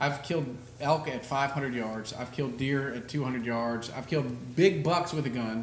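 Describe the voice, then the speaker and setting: Over noticeable background noise, a man speaks at a fairly slow pace. His medium pitch has ordinary variation. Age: 40s. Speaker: hunting podcast host. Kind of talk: casual chat.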